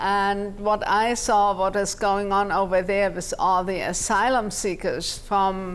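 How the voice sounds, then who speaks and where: In a German accent, a woman speaks at a very slow pace with hardly any pauses, her medium-pitched voice flat and monotone and her loudness very even. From Germany, Munich. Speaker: immigration attorney. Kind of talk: TV interview.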